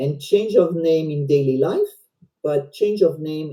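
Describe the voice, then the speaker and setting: A woman with a French accent speaks at a very deep, low pitch, her dark, mellow tone somewhat breathy, with ordinary pitch variation. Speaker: volunteer presenter. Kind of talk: educational presentation. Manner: halting.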